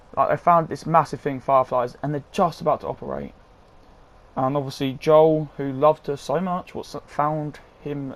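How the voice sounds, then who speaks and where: A man's fairly high voice, flat and monotone, at a moderate pace. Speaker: gaming YouTuber. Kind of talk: video game review. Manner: halting, stuttering.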